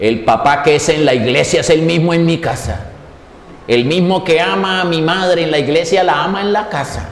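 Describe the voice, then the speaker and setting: Noticeable background noise and audible room echo surround this man's voice. He talks at a moderate pace with fairly high pitch and lively intonation. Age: 60s. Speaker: preacher. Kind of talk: sermon.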